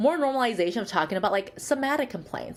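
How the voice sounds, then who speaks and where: A woman with a Chinese accent speaks with very wide pitch swings. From born in Shanghai, grew up in Michigan, US. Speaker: psychologist. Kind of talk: interview.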